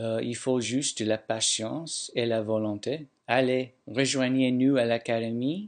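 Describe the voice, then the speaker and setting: Very slow speech over a quiet background. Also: man, medium pitch for a man, fairly even intonation. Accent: non-native. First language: not French (speaking French). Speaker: language learner. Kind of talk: testimony.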